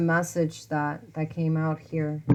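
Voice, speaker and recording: A woman speaks quietly. Her pitch sits fairly low. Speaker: tarot reader. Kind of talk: tarot reading for viewers. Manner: quiet, talking low.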